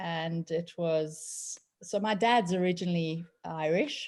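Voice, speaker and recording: With a South African accent, a woman speaks at a medium pitch with ordinary variation in a very clean recording with a silent background. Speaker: personal coach. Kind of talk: casual chat. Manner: animated.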